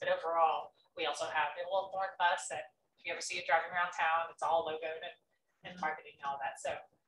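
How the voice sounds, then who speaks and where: In an American accent, a woman talks very fast at a fairly low pitch, her intonation monotone and flat. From Texas. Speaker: nonprofit development director. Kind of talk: presentation and Q&A. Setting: club meeting with audience.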